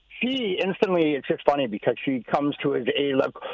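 At a moderate pace, a man with a fairly high pitch speaks in a dry, close sound with no echo, though noticeable background noise is present. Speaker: caller. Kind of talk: casual chat.

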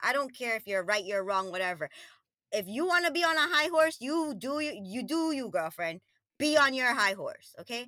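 A woman's animated, bright, sharp voice, high in pitch, with very wide pitch swings at a moderate pace. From Queens, New York (born in Trinidad and Tobago). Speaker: lifestyle coach. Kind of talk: casual chat.

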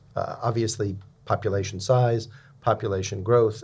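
A man talks at a moderate pace in a fairly low pitch. His intonation stays fairly even, and the voice is somewhat breathy. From San Francisco, US. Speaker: venture capital partner. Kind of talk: interview conversation.

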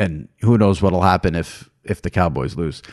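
Vocal fry marks this man's speech over a quiet background. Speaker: podcast host, sports media. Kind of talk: interview and casual chat.

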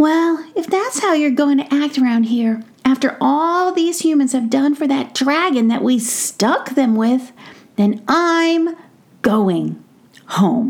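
A woman puts on a character voice and pitches it high. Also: fairly slow pace. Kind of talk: bedtime story. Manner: earnest, serious, a little shy.

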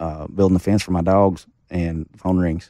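Very deep, low pitch from a man with an Arkansas accent, monotone, flat intonation, a dry, close sound with no echo, and a quiet background. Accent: Southern US (Arkansas). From US South, Arkansas Ozarks. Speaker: country singer. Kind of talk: casual chat.

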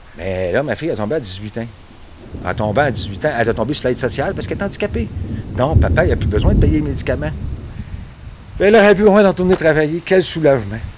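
A man with a Quebec accent at medium pitch, very wide pitch swings, a very fast pace broken by long, frequent pauses, and noticeable background noise. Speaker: railway foreman. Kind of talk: documentary interview.

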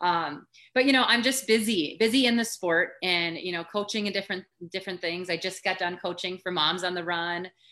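Against a quiet background, a woman with an American accent speaks at a fairly quick pace. Her medium-pitched voice has a bright, sharp tone and ordinary pitch variation. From rural Minnesota, US Upper Midwest. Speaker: former elite runner and running coach. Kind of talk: casual interview chat.

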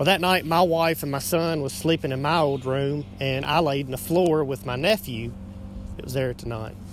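Music plays in the background as a man speaks at a moderate pace. His pitch is fairly high, with ordinary pitch variation. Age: 30s. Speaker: listener. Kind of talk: personal story in a voice message.

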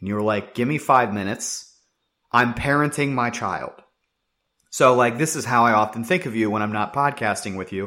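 This man has a plain, everyday voice at a medium pitch with ordinary pitch variation and a moderate pace. The recording is very clean, with a silent background. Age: 20s. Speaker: sports podcast co-host. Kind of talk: casual chat.

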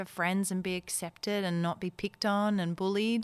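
Recorded very cleanly with a silent background, a woman with an Australian accent speaks at a moderate pace and a medium pitch. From Netherlands, moved to Perth, Australia at twelve. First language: Dutch. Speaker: actor, voiceover artist and MC. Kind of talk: interview.

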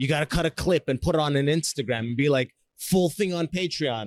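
In a Canadian accent, a man with an ordinary speaking voice talks at a fairly quick pace and a fairly high pitch with ordinary pitch variation, recorded with a dry, close sound and no echo. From Canada. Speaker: podcast host and stand-up comedian. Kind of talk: casual interview chat. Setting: busy conference hall.

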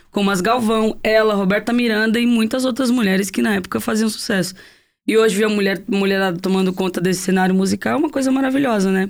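Very fast speech with ordinary pitch variation, on a very clean recording with a silent background. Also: woman, medium pitch for a woman. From Guarujá, São Paulo coast, Brazil. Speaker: singer-songwriter. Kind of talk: casual interview chat.

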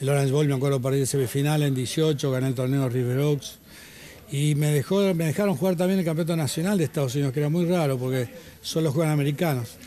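A man with an Argentine accent at a very fast pace, very even in loudness, over noticeable background noise. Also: fairly high pitch for a man, ordinary pitch variation. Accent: Argentine Spanish (Rioplatense). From Argentina. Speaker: former tennis player and author. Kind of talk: interview. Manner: halting.

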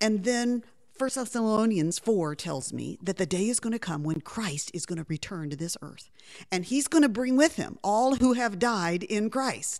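At a fairly high pitch, a woman speaks at a moderate pace with very wide pitch swings, on a very clean recording with a silent background. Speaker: Bible teacher and author. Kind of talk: radio interview. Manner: enthusiastic.

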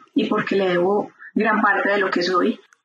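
In an unremarkable speaking voice, a woman of medium pitch talks at a moderate pace with fairly even intonation. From Colombia, Medellín. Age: 40s. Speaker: epidemiologist. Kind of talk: interview.

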